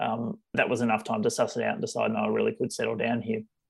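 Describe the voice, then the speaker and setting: A man with an Australian accent talks very fast. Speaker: general practitioner. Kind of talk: interview.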